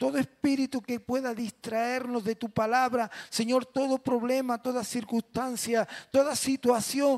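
At a fairly slow pace, a man speaks over a quiet background. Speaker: pastor. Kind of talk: prayer before sermon. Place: church. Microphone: handheld.

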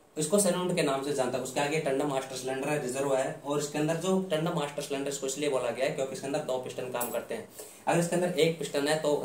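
Amid light background noise and audible room echo, a man talks very fast with hardly any pauses and fairly even intonation. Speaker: automotive instructor. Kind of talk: tutorial. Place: home room.

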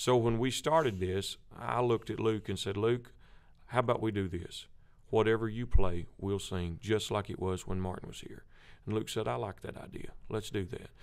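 Against a quiet background, a man with an American accent talks in an unremarkable speaking voice at a fairly low pitch and moderate pace, with ordinary pitch variation. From US South. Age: 30s. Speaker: gospel quartet lead singer; guest. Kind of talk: interview. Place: studio. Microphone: studio mic.

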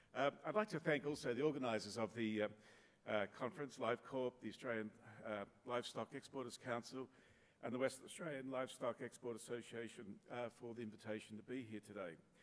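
A man talking at a very fast pace with ordinary pitch variation. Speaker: keynote speaker. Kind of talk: keynote speech. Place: hall. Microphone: podium.

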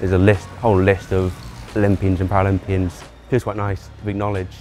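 A man speaks at a very fast pace with a fairly low pitch. Faint music plays in the background. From Greater Manchester. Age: young. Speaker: para cyclist. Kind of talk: interview answer. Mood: proud, modest, happy. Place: hall. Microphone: lapel.

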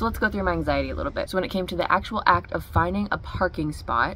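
At a fairly quick pace, a woman speaks in a dry sound with no echo over light background noise. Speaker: vlogger. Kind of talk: casual vlog chat. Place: home room. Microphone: phone near.

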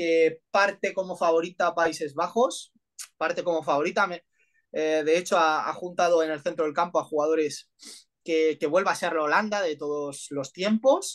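Against a quiet background, a man with a high-pitched voice speaks at a fairly slow pace with fairly even intonation. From Spain. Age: 30s. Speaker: football coach. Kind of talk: interview analysis. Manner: halting, many fillers. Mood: calm analytical. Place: home room. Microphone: video call.

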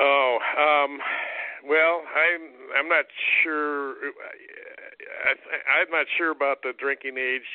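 Very slowly and with monotone, flat intonation, a man talks in a fairly high pitch. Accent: American. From US Midwest, Cleveland area, Ohio. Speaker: political candidate. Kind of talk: interview. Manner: halting.

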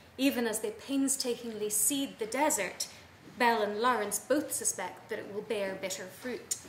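A woman's fairly high voice at a fairly slow pace, with ordinary pitch variation, audible room echo and light background noise. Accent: Irish. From Ireland. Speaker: academic, travel writing specialist. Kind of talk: conference paper reading. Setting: conference room with audience. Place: meeting room.

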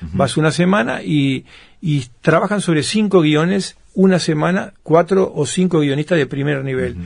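A man's fairly high voice, an ordinary speaking voice, with ordinary pitch variation, a moderate pace and a quiet background. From Uruguay. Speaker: author and film producer; interviewee. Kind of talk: interview. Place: studio.

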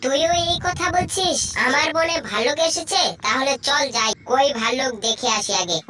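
A woman does a cartoonish character voice, high in pitch. Clear background noise is present. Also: moderate pace. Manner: authoritative.

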